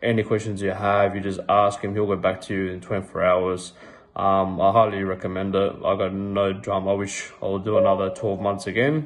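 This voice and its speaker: A man with an Australian accent and a fairly low voice speaks at a fairly quick pace in a monotone, flat intonation. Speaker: fitness coaching client. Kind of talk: testimonial. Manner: halting, many ums. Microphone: phone near.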